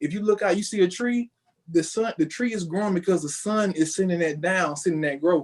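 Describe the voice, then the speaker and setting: The man's voice sits high in pitch. It rises and falls in an ordinary way. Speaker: spiritual entrepreneur. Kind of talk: podcast interview. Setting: home office, remote call.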